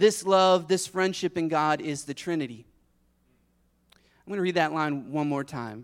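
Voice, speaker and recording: Speaking at a fairly slow pace in a fairly high pitch, a man sounds animated, with ordinary pitch variation, in a very clean recording with a silent background. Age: 40s. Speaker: pastor. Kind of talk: sermon. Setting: church.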